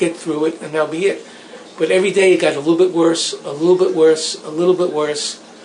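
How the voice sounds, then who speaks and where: There is noticeable background noise. Over it, a man talks in a high voice. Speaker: near-death experience survivor. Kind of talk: interview testimony.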